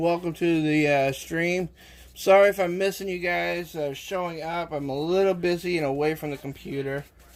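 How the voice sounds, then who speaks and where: Speaking with an American accent, a man at a fairly high pitch keeps a moderate pace and fairly even intonation. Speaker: live streamer cooking on stream. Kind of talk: casual live-stream chat while cooking.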